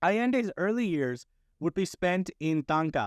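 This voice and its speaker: The sound is dry and close, with no echo. A man with a non-native accent speaks at a moderate pace with lively intonation. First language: not Spanish. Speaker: podcast host. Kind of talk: history narration from notes. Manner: casual, with fillers and false starts.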